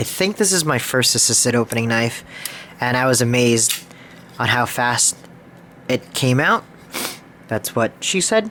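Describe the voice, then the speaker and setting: Noticeable background noise sits under a man talking at medium pitch and a moderate pace, his loudness very even, his pitch varying in an ordinary way, with long, frequent pauses. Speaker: knife collector video maker. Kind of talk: casual collection show-and-tell. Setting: at home, sitting on the floor. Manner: halting, stumbles over words.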